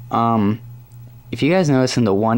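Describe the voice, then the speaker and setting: A male speaker with a normal speaking voice, medium in pitch, ordinary in pitch variation, at a moderate pace. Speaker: hobby model reviewer. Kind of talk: product review. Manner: casual.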